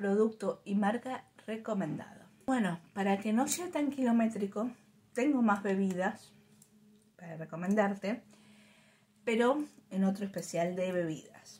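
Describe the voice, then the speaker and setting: A woman speaks in a Rioplatense accent. Her pace is fairly slow, with long, frequent pauses. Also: ordinary pitch variation. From Argentina. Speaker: YouTuber reviewing drinks. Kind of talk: casual product review vlog. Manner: chatty, informal.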